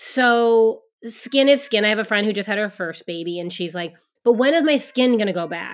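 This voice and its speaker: A woman with an unremarkable speaking voice talks at a moderate pace. Her pitch is fairly high and her intonation lively. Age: 40s. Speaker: pre- and postnatal exercise specialist. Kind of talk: casual interview.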